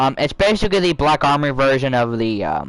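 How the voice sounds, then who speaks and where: With lively intonation, a man talks at a moderate tempo. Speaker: video game streamer. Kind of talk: casual gameplay commentary. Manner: soft-spoken; halting, many fillers.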